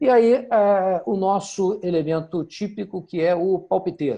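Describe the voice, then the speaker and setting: Against a quiet background, a man talks in a dark, mellow tone with ordinary pitch variation. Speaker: campaign strategy instructor. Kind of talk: online workshop lecture.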